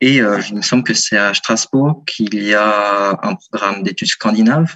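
A man's voice, fairly low in pitch. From France, Lyon. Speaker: university student. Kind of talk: radio interview. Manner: hesitant, many fillers.

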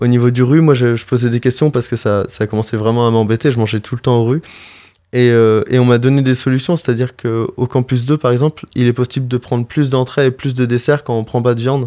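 In a very clean recording with a silent background and a dry, close sound with no echo, a man at medium pitch speaks fairly quickly in a dark, mellow tone with monotone, flat intonation. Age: young. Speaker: animal rights association volunteer. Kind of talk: interview. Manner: halting.

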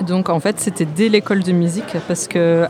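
Against crowd noise in the background, a woman talks at a moderate pace with a fairly low pitch and fairly even intonation. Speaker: interviewer. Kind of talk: radio interview in English. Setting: studio.

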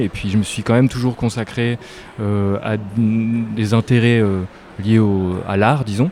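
A man with a fairly low pitch speaks at a moderate pace and fairly even intonation against noticeable background noise. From northern France (near Lille). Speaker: visual artist. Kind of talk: interview. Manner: hesitant, many fillers.

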